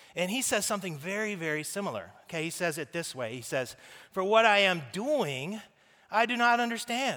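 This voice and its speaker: A man with a high pitch projects a raised voice, his tone bright and sharp, his intonation lively and his pace fairly quick. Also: very clean recording, silent background. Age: 40s. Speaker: pastor. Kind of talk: sermon. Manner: animated.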